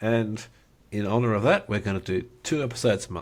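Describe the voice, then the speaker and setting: This man has a medium pitch and a moderate pace. The recording is very clean, with a silent background. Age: 50s. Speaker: podcast co-host. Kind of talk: casual chat.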